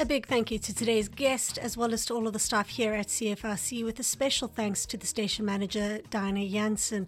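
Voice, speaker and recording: A woman speaks at a fairly quick pace with hardly any pauses. Her voice is somewhat breathy, and her intonation stays fairly even. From South Africa, Johannesburg. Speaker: podcast host, graduate student representative. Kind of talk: casual interview.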